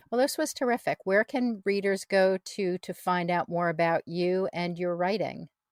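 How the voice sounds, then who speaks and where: A woman with an ordinary speaking voice, medium pitch, ordinary pitch variation and a moderate pace, in a dry, close sound with no echo. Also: hardly any pauses. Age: 60s. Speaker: podcast host and writer. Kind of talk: scripted outro; casual chat.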